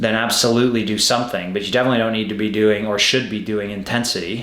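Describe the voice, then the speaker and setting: Very fast speech comes from a man at a medium pitch, with fairly even intonation. Noticeable background noise and audible room echo fill the recording. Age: 30s. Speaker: professional triathlete. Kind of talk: casual interview chat.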